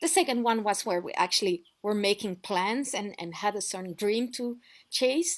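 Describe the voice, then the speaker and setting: A woman with a French accent, at a fairly high pitch with lively intonation and a moderate pace, on a very clean recording with a silent background. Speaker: off-grid lifestyle vlogger. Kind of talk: casual storytelling vlog. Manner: conversational with fillers and restarts.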